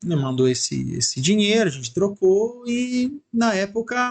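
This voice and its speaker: This man speaks with a high pitch. His pitch swings very widely. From Italy. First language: Italian (speaking Portuguese). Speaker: church member, former missionary. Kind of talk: casual chat.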